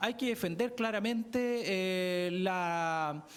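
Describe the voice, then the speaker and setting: A man's voice with lively intonation. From southern Chile, Araucanía. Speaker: political candidate. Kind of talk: campaign pitch.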